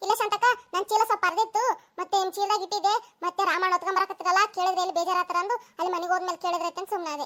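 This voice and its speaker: A woman does a cartoonish character voice at an extremely high pitch. She talks very fast with fairly even intonation. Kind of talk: cartoon comedy acting.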